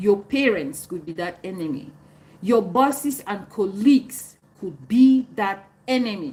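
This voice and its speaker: A woman with a Cameroonian accent speaks at a fairly slow pace in a medium pitch. Her loudness swings a lot, and her pitch swings very widely. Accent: African accent, Cameroonian. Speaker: live streamer answering viewer comments. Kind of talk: live stream chat reading comments.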